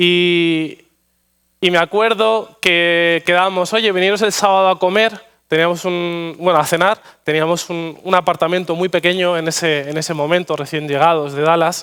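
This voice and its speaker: In a Madrid accent, a man with a high pitch speaks at a moderate pace with fairly even intonation. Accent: Madrid Castilian Spanish. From Spain, Madrid. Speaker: pastor. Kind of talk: sermon. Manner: halting, frequent repetitions and fillers.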